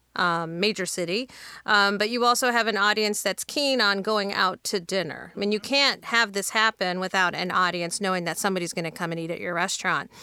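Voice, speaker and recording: On a very clean recording with a silent background, a woman talks at a fairly quick pace with hardly any pauses, at medium pitch with ordinary pitch variation and a bright, sharp tone. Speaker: restaurateur. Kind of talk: casual panel interview. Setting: studio.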